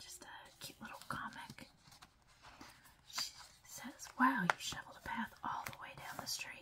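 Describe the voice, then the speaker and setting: In a whisper, the voice moves at a fairly slow pace, broken by long, frequent pauses. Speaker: ASMR creator. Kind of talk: whispered ASMR magazine flip-through. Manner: whispered, soft-spoken.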